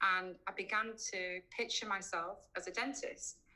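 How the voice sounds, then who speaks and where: A woman speaks with a Yorkshire accent. Her tone is bright and sharp. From West Yorkshire, England (Keighley). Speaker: cosmetic dentist. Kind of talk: online presentation. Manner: hesitant, many fillers.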